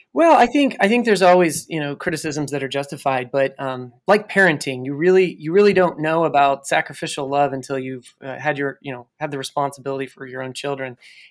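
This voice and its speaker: A man with a Californian accent, a fairly high pitch, a fairly quick pace, hardly any pauses and big swings in loudness. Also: ordinary pitch variation. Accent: General American (Californian). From California, US (San Luis Obispo). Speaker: city economic development director. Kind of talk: interview.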